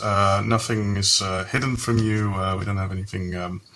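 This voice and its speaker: The voice carries a Dutch accent. Delivery is at a fairly quick pace. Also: man. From Netherlands. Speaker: software company employee. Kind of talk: casual interview.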